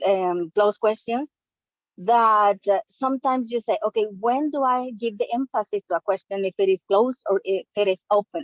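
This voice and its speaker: A woman's fairly high voice in a Spanish accent, at a moderate pace, with ordinary pitch variation and very even loudness. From Latin America. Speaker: language learner. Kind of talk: casual chat.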